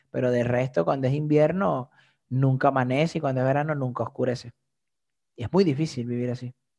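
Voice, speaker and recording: Using a fairly quick pace and ordinary pitch variation, a man with a Venezuelan accent speaks at a medium pitch in a dark, mellow tone. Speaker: comedian and content creator. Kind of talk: casual interview chat.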